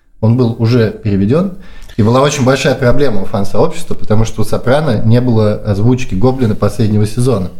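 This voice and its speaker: A man talks at a fairly quick pace with a medium pitch, his dark, mellow tone somewhat breathy. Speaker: podcast host, marketer. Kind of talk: casual chat. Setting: apartment. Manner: quiet.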